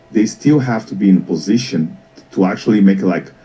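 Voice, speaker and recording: With a Portuguese accent, a man speaks in a fairly low pitch. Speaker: business mentor. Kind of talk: talk show interview. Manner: repeats and restarts words.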